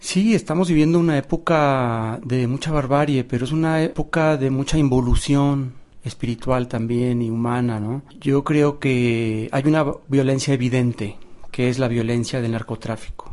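A man speaks with a Mexican accent at a medium pitch. His pitch varies in an ordinary way, at a moderate pace. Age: 50s. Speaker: visual artist. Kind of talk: documentary interview.

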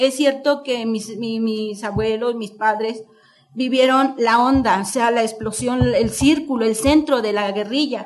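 This woman has a fairly high pitch with ordinary pitch variation. She speaks at a fairly slow pace. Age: 50s. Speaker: author. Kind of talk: book presentation speech. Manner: halting.

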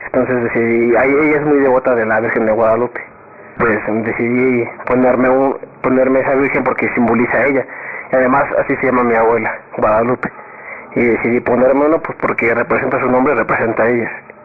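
Noticeable background noise sits behind a man talking very fast at medium pitch. His delivery is monotone and flat, with very even loudness. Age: 20s. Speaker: university student. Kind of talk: casual interview. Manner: halting.

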